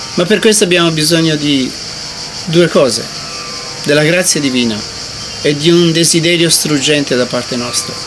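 Fairly high-pitched, a man speaks at a moderate pace with ordinary pitch variation. He leaves long, frequent pauses while music plays in the background. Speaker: meditation teacher. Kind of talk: guided meditation talk. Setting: meditation retreat. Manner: bilingual, alternates English and Italian.

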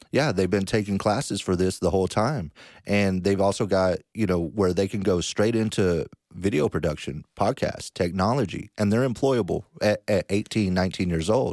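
A man with an American accent talks in an unremarkable speaking voice at a fairly low pitch, with ordinary pitch variation, a moderate pace and very even loudness, on a very clean recording with a silent background and a dry, close sound with no echo. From Dallas, Texas. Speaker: credit repair specialist. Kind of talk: casual interview.

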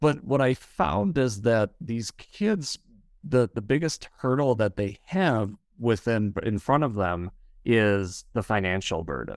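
Very slow, lively intonation from a man with an American accent, medium pitch, in a dry, close sound with no echo on a very clean recording with a silent background. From Wisconsin, US. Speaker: school counselor, former opera singer. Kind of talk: casual interview chat. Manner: animated, hesitant with fillers.

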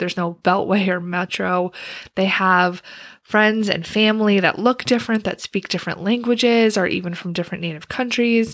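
Recorded very cleanly against a silent background, a woman with a plain, everyday voice and medium pitch talks at a fairly quick pace with fairly even intonation. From Wisconsin. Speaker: career coach, podcast host. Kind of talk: solo podcast monologue.

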